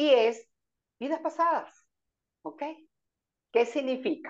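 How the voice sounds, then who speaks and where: At a fairly slow pace, a woman is talking. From Venezuela. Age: 70s. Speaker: numerologist and energy interior consultant. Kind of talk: interview explaining spiritual topics.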